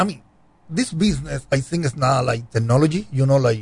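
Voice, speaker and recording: Somewhat breathy and lively in intonation, a man with a Cuban accent and a medium pitch talks at a fairly quick pace. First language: Spanish. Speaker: cigar brand owner. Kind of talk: casual interview chat.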